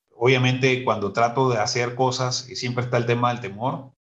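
Moderately paced and medium in pitch, a man talks in a plain, everyday voice. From Nicaragua, north of Matagalpa. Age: 40s. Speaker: lawyer and sales executive. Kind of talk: interview.

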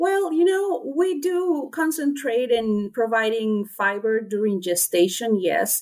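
With a Spanish accent, a woman talks at a fairly high pitch and fairly slow pace, showing very wide pitch swings and hardly any pauses. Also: very even loudness. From Honduras. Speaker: swine nutritionist. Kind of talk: interview. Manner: hesitant with many fillers.

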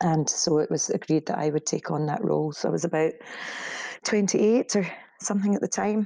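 A woman's fairly low, dark, mellow voice in a Scottish accent, at a fairly quick pace with ordinary pitch variation. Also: dry, close sound with no echo. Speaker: media company co-founder. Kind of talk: interview. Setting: remote call.

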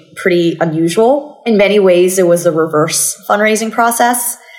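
The speech moves at a moderate pace with lively intonation. Noticeable background noise is present. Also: woman. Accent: American. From Thailand, Bangkok. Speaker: venture capital investor. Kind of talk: interview. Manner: repeats words when starting sentences.

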